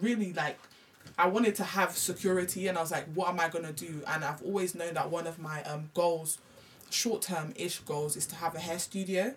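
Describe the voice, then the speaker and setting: Over noticeable background noise, a woman with a London accent talks at a very fast pace in a fairly low voice. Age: 20s. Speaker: hair extension business owner. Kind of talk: casual chat.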